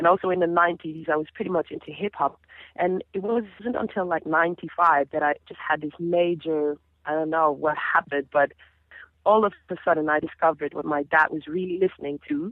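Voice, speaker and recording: A woman speaks at a fairly low pitch in a Dutch Caribbean accent. Her intonation is fairly even. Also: fairly quick pace. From Caribbean (Dutch Caribbean). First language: Papiamento. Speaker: singer. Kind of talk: interview.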